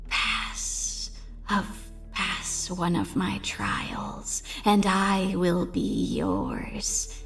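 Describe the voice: Over clear background music, a female-sounding voice in a raspy, put-on character voice drags along at a very slow pace.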